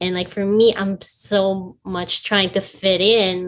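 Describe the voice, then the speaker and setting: A woman with a Filipino accent talks at a medium pitch in a monotone, flat delivery. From Philippines. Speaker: podcast guest. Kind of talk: casual chat. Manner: halting, many fillers.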